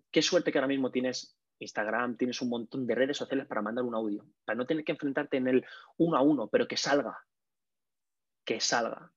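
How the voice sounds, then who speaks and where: A man talks at a very fast pace in a medium pitch, broken by long, frequent pauses. The sound is dry and close with no echo, over a quiet background. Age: 30s. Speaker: communication coach and comedian. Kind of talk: casual interview. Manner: energetic.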